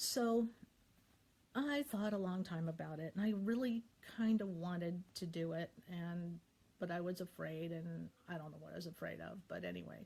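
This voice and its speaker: Speaking at a moderate pace in an American accent, a woman with a fairly low pitch has a dark, mellow tone, a somewhat breathy quality and ordinary pitch variation. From US Midwest. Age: 60s. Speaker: YouTuber sharing faith. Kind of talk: personal testimony. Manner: halting.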